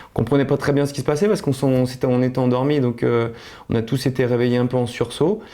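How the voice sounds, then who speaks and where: Speaking at a very fast pace, a man uses a dark, mellow tone at medium pitch, with ordinary pitch variation and very even loudness. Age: 30s. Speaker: accident survivor. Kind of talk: testimony. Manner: halting, many hesitations.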